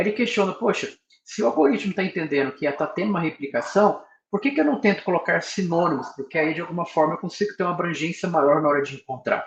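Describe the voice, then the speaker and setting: At a very fast pace, a man speaks with a high pitch and ordinary pitch variation. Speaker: professor giving research workshop. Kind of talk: lecture.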